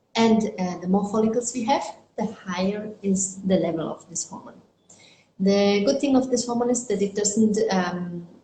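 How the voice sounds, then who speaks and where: A somewhat breathy woman talks at a medium pitch and a moderate pace. Her pitch varies in an ordinary way. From Germany. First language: German. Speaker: fertility doctor. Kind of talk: interview. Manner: halting, with fillers.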